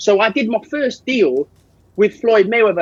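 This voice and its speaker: A loud man with a London accent speaks at a moderate pace in an energetic tone. The sound is dry and close, with no echo. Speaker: boxing manager. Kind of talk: podcast interview.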